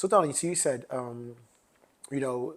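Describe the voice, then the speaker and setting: A man speaks with a London accent. His pitch is medium. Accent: UK accent, a bit of London. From London, UK (born Grenada, moved at seven). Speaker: podcast co-host. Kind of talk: casual chat.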